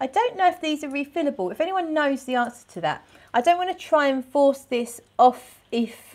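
The pace is moderate. The voice is a woman's. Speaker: perfume reviewer. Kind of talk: casual vlog chat. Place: home room. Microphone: phone near.

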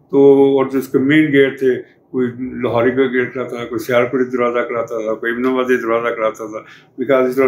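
A man's monotone, flat voice with light background noise. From Pakistan, Punjab. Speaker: retired museum director and archaeologist. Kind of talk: interview answer, oral history. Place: home room.

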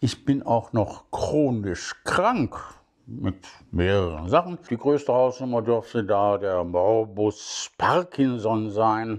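At a very slow pace, a man speaks with lively intonation over a quiet background. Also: medium pitch for a man. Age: 70s. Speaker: podcaster. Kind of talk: casual monologue. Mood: critical, somewhat sarcastic. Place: home room. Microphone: phone near.

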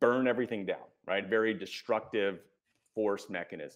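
A man talks at a moderate pace with an American accent. The background is quiet. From United States. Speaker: executive coach and author; executive coach. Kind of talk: interview. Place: home room. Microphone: earbuds.

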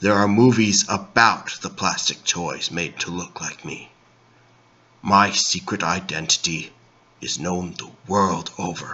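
A man at a fairly slow pace with fairly low pitch. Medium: comedy sketch. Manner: gruff, deadpan, self-serious.

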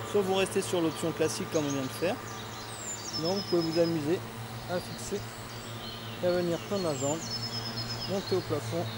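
Over loud background noise, a man talks at a fairly quick pace with ordinary pitch variation, the sound dry with no echo. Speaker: fitness instructor. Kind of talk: exercise class instruction. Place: open country.

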